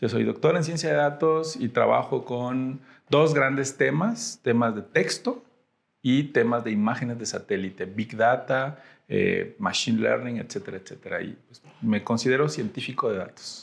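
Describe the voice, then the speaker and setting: Speaking at a fairly slow pace, a man's voice shows big swings in loudness. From Mexico, Tamaulipas (Ciudad Mante). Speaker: data scientist. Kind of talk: podcast interview.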